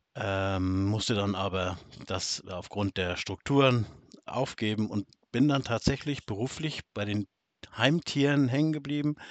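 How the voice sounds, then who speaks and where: A man speaks with a northern German accent at a fairly low pitch. His pace is fairly slow, and his pitch varies in an ordinary way. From northern Germany. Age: middle-aged. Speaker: podcast co-host, farmer. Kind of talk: casual chat.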